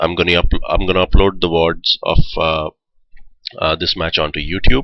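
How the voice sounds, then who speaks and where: A man speaks with a fairly even intonation and an Indian accent. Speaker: esports shoutcaster. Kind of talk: live commentary. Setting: live stream.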